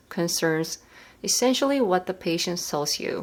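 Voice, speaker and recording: Her intonation is lively, her pitch medium. The woman speaks at a fairly slow pace with a Korean accent. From South Korea. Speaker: medical resident and educational YouTuber. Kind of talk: tutorial.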